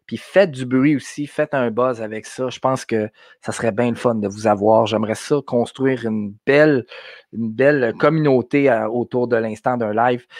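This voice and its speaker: Against a quiet background, someone speaks in a Quebec accent at a moderate pace with fairly even intonation, the sound dry and close with no echo. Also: man, medium pitch for a man. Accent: Québécois French. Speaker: podcast host. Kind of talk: live stream talk. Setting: live video stream from home. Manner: halting, many fillers.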